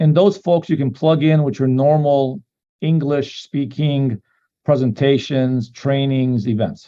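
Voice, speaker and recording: A man with a Macedonian accent, fairly high pitch, ordinary pitch variation, a dark, mellow tone and a fairly slow pace. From North America, Macedonian immigrant family. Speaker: company co-founder. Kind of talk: business talk with consecutive interpretation. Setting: online call.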